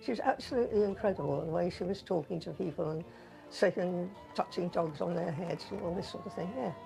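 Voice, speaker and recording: A woman's fairly low voice at a very fast pace, with ordinary pitch variation and music in the background. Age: 80s+. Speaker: local resident interviewee. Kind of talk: interview reminiscence. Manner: halting.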